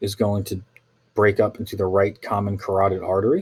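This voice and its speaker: A man speaks with a somewhat breathy voice. His pitch sits fairly low. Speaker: teacher. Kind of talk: lecture. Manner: fast.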